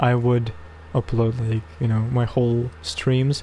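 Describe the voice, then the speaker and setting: At a fairly slow pace, a man speaks in a somewhat breathy, dark and mellow tone with a medium pitch. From Russia. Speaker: video game streamer. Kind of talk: live stream commentary. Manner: casual, hesitant with fillers.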